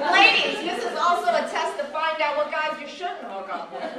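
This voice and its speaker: Against crowd noise in the background, a woman uses a raised, projected voice, extremely high in pitch and upbeat and energetic in tone, with lively intonation, big swings in loudness and a moderate pace. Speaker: stand-up comedian and librarian. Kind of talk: live stand-up comedy. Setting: live audience in a library. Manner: upbeat, energetic.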